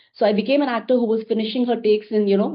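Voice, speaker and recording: A woman speaks with an Indian accent. Her pitch sits fairly high. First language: Hindi. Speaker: actor and producer. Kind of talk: interview.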